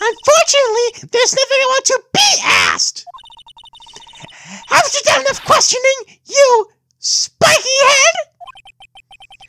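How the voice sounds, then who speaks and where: A put-on character voice at an extremely high pitch and a fairly slow pace. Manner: bitter, scornful, haughty.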